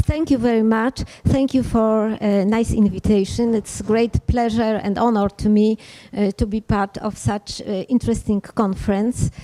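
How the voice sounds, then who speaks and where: A woman with a Polish accent talks at a moderate pace, her pitch fairly high and her tone dark and mellow. Her intonation stays monotone and flat, and the sound is dry and close with no echo. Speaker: physician and parliamentarian. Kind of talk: conference speech. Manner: hesitant in English.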